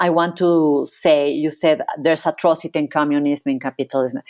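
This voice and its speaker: At a moderate pace, a woman with a very deep, low pitch speaks in a Spanish accent on a very clean recording with a silent background. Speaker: psychologist. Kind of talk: interview.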